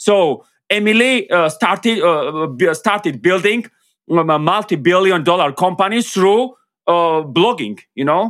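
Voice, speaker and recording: A man's high-pitched voice at a fairly slow pace, with very even loudness. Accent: Georgian. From Georgia. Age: 30s. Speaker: marketing consultant. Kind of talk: interview. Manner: halting.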